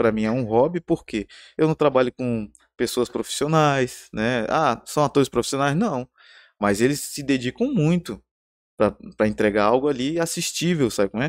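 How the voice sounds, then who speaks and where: Over a silent background on a very clean recording, a man uses a normal speaking voice at a medium pitch, with ordinary pitch variation and a moderate pace. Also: dry, close sound with no echo. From Porto Velho, Rondônia, Brazil. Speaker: screenwriter and filmmaker. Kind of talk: casual interview chat.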